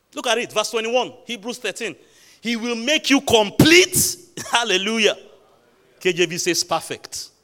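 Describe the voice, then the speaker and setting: Raised and projected, a man's high, bright, sharp voice moves slowly with an animated tone and lively intonation, broken by long, frequent pauses. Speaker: preacher. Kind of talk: sermon. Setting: church. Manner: exhortatory.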